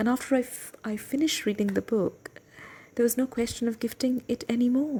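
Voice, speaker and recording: A woman talks at a moderate pace and a fairly high pitch. Her tone is dark and mellow. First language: Bengali. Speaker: book reading podcast host. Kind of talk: personal reflection before reading aloud. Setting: at home desk, night. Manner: hesitant, with fillers.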